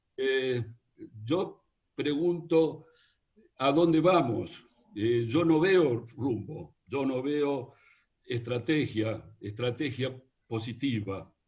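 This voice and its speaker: A man's somewhat breathy, medium-pitched voice at a very slow pace, with ordinary pitch variation and long, frequent pauses. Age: 70s. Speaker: foreign trade veteran, audience questioner. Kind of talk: audience question.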